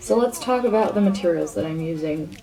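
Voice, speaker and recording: A woman speaks over noticeable background noise. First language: not English. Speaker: art channel creator. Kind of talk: voiceover tutorial.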